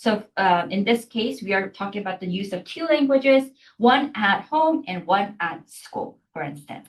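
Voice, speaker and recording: A woman speaks at a moderate pace in a medium pitch. Her voice makes very wide pitch swings. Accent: Korean. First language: Korean. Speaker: university lecturer. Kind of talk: lecture. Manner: hesitant, many fillers and restarts.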